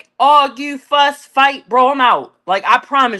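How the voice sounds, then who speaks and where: An animated, bright and sharp voice, raised and projected, at a moderate pace in a very clean recording with a silent background. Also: woman. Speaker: podcast co-host. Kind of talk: casual chat. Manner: loud.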